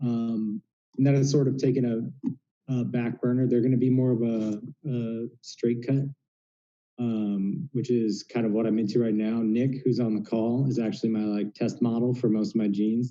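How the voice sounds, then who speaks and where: Speaking with a Southwest US accent, a man of medium pitch keeps a moderate pace and fairly even intonation. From Phoenix, Arizona. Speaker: denim brand founder. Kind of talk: casual chat. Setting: video call. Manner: halting.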